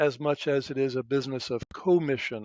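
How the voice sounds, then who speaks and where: A man speaks at a fairly high pitch. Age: 60s. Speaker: wealth manager. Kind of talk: podcast interview. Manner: halting with fillers.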